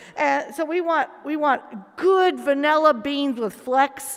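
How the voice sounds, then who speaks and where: A woman with a Southern US accent speaks at a fairly slow pace and a high pitch. Her tone is animated, with ordinary pitch variation. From US South. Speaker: protestant chaplain. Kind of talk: casual panel chat.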